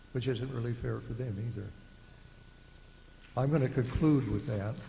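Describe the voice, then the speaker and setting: A man with vocal fry and fairly even intonation, at a moderate pace, with audible room echo. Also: medium pitch for a man. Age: 70s. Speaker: retired engineer, resident speaking at public meeting. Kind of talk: public comment. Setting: public meeting.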